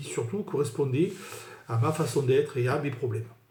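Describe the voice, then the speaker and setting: Somewhat breathy voice with a dark, mellow tone and audible room echo. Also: man. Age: 60s. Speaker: sales manager giving client testimonial. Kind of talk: testimony. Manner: halting with frequent fillers.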